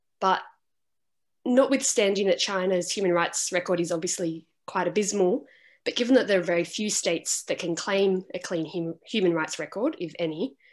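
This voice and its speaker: Against a quiet background, a woman talks at a moderate pace. Her pitch is medium. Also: ordinary pitch variation. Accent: Australian. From Australia. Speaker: student asking a question. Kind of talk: audience question. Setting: video call. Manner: halting.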